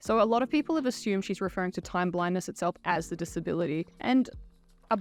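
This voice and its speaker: Against a quiet background, a woman with an Australian accent talks at a very fast pace and medium pitch, with ordinary pitch variation. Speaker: YouTuber commenting on neurodiversity. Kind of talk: commentary video monologue.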